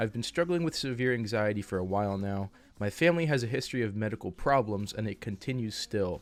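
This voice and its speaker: At a fairly quick pace, a man with a fairly low pitch uses an ordinary speaking voice and ordinary pitch variation. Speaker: YouTube advice host. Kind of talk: casual advice talk to camera.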